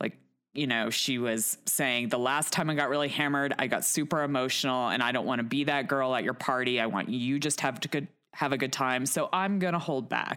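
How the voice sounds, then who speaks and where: A woman with an American accent, very deep, low pitch and a bright, sharp tone, at a fairly quick pace with very even loudness and ordinary pitch variation, on a very clean recording with a silent background. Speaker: podcast host. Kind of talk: casual chat.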